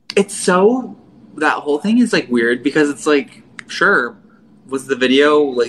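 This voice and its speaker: Against noticeable background noise, a man with an American accent speaks very slowly at a fairly high pitch with lively intonation. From western Pennsylvania. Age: 20s. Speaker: artist and baker. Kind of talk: casual chat.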